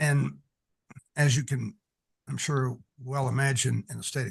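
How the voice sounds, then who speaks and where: At a fairly slow pace, a man talks at a medium pitch. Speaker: commission applicant, attorney. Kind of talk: interview. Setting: meeting room, far from listener. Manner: loud. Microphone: far from the mic.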